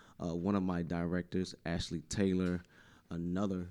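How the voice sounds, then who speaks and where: This man has an eastern North Carolina accent and a very deep, low pitch. His tone is dark and mellow, at a moderate pace. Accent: US South, eastern North Carolina. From New Bern, North Carolina. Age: young. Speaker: arts nonprofit founder. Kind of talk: radio interview. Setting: radio studio, sharing one mic.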